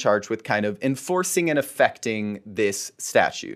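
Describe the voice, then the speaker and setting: Very wide pitch swings from a man speaking at a moderate pace. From Florida (Fort Myers). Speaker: attorney. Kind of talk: casual chat.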